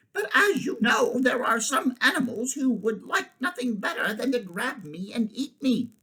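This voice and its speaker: Putting on a character voice, a man speaks at an extremely high pitch and a moderate pace with hardly any pauses. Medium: read story.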